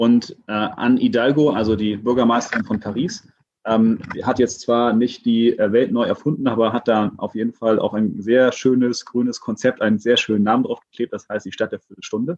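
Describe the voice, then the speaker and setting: A man in an ordinary speaking voice talks at a moderate pace with hardly any pauses, a medium pitch and fairly even intonation. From Hamburg. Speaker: city transport senator. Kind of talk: casual interview.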